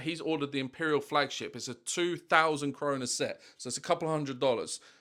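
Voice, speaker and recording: Very clean recording, with a silent background. A man with a plain, everyday voice speaks at a moderate pace and fairly high pitch. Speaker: online seller of vintage toy sets. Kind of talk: casual vlog talking to camera.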